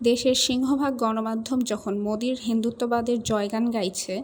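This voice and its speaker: A woman's fairly high voice in a flat, monotone delivery. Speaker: voice acting student. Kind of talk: news documentary narration.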